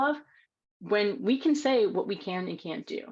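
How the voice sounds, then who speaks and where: A woman speaks with lively intonation over a quiet background. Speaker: women's rights advocate. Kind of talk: panel Q&A talk. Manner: fast.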